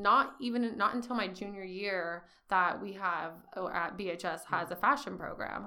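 A woman with an American accent speaks at a fairly slow pace and medium pitch, with ordinary pitch variation. Her tone is bright and sharp, and room echo is audible. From California, Bakersfield. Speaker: entrepreneur and apparel designer. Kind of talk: interview conversation.

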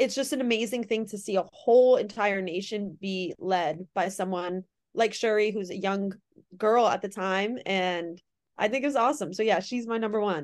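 A woman with an American accent speaks at a moderate pace in a medium pitch, with ordinary pitch variation, a plain, everyday voice, and a quiet background. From Connecticut. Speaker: basketball reporter. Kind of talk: casual chat.

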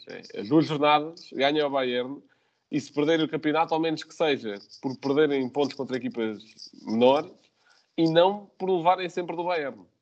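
Speaking at a moderate pace with ordinary pitch variation, a man with a fairly high pitch talks in a European Portuguese accent. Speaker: football podcast host. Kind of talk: casual chat.

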